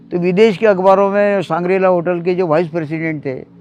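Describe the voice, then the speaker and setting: Pitch rises and falls in an ordinary way. The pace is moderate. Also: man. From Maharashtra, India (Amravati). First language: Marathi (speaking Hindi). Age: 70s. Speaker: novelist and former tea seller. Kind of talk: interview monologue.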